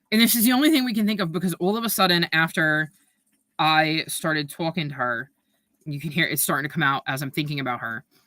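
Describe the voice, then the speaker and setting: A woman with a New York accent speaks with a very deep, low pitch, a bright, sharp tone and lively intonation. The recording is very clean, with a silent background and a dry, close sound with no echo. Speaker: booktuber livestreamer. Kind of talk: casual livestream chat reading chat comments. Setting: livestream. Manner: hesitant, many fillers.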